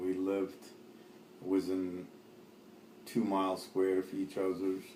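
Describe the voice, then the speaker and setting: Over noticeable background noise, a man with a very deep, low pitch speaks at a fairly slow pace in a monotone, flat intonation. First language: Arabic. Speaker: immigrant interviewee. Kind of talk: oral history interview. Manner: halting, many fillers.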